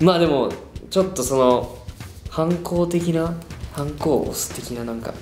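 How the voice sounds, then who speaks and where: With long, frequent pauses and big swings in loudness, a man speaks in a fairly high voice with ordinary pitch variation, amid audible room echo and light background noise. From Okayama, Japan. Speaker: pop group performer. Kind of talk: casual quiz-show talk. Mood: playful, amused. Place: studio.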